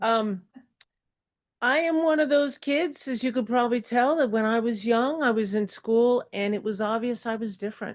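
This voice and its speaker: At a moderate pace, a woman with a fairly high pitch speaks in an ordinary speaking voice with ordinary pitch variation. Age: 60s. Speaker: retired substitute teacher, public commenter. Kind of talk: public comment speech at board meeting. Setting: public board meeting.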